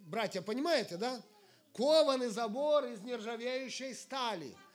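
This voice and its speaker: An extremely high-pitched man is speaking. Audible room echo surrounds his voice. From Ukraine, Sumy region. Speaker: evangelist preacher. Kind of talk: sermon.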